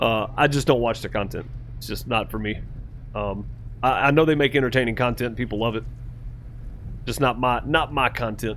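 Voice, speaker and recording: A man with an American accent speaks in a medium pitch with fairly even intonation. There is vocal fry, and he takes long, frequent pauses. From Mississippi, US South. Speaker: gaming streamer. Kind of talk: casual live-stream chat. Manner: casual, hesitant with fillers.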